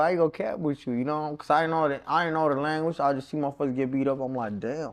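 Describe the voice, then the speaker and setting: A man talks at a very fast pace. The recording is very clean with a silent background. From Mexico (Durango), raised in Kansas City from age 9. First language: Spanish. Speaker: interview guest. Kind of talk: casual interview.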